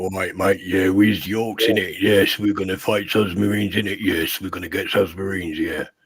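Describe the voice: In a put-on character voice, a raspy man speaks at a fairly low pitch with hardly any pauses. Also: moderate pace.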